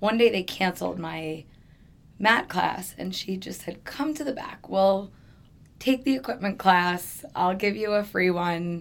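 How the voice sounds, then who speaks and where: A woman's unremarkable speaking voice at medium pitch and a fairly slow pace. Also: lively intonation. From New York. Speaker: fitness trainer and Pilates teacher. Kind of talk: casual interview chat.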